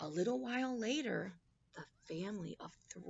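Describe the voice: Lively intonation in a plain read-aloud delivery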